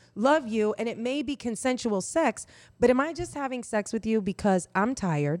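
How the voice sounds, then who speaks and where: In a very clean recording with a silent background, a woman with an American accent and a plain, everyday voice speaks at a moderate pace with a fairly high pitch and lively intonation. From Indiana, US Midwest. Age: 40s. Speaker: sexologist and sex educator. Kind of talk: casual podcast conversation. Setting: podcast recorded at kitchen table, on camera.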